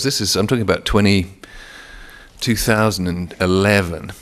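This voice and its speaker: In an English accent, a man speaks at a moderate pace with a fairly low pitch. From England. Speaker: author. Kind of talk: author talk. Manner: halting, with frequent repetitions.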